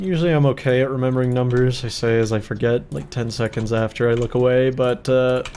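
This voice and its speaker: A man at medium pitch, speaking at a moderate pace. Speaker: gaming youtuber. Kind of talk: casual gameplay commentary. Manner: animated.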